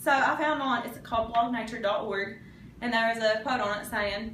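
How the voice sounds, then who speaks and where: Fairly quick and fairly even in intonation, a woman with an Appalachian accent speaks at a fairly high pitch amid noticeable background noise and audible room echo. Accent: Appalachian Kentucky. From US, Eastern Kentucky. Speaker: college student. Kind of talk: class speech.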